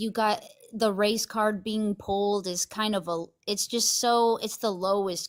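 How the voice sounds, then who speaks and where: A woman at medium pitch and a fairly slow pace. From US West Coast, Los Angeles. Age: 20s. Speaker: caller. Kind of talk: heated debate.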